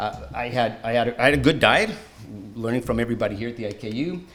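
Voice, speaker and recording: With a strong Canadian accent, a man speaks very fast at a medium pitch with ordinary pitch variation, and the room echo is audible. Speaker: patient advocate and former swim coach. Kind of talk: conference presentation.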